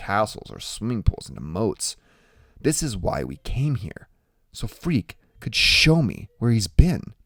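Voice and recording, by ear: A passage is read out in a natural voice.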